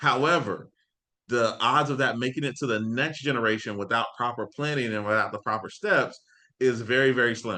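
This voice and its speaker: In a Floridian accent, this speaker talks at a fairly quick pace with an animated, bright, sharp tone. Pitch varies in an ordinary way, and the background is quiet. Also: man, medium pitch for a man. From Florida (Ocala, Tampa). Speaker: financial coach. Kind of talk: live online class. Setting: video livestream. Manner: animated, casual.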